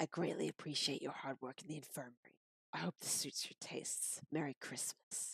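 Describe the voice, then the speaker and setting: A put-on character voice, raspy and gravelly, at a low-to-middle pitch and a moderate pace. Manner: slightly evil.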